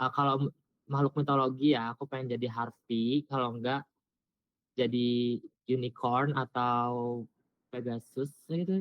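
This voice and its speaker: At a fairly slow pace and with fairly even intonation, a man talks at medium pitch in an ordinary speaking voice. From Indonesia, West Java (Subang). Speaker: new university student. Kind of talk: self-introduction on video call. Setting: video call.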